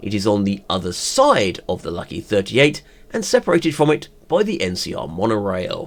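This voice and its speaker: A man talks at a fairly quick pace with a fairly low pitch and very wide pitch swings. Noticeable background noise is present. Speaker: YouTube TV show reviewer. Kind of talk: video review.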